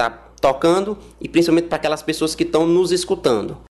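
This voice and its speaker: Pitch variation is ordinary, with noticeable background noise in the recording. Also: man. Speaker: orchestra conductor. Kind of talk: interview. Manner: hesitant with filler words.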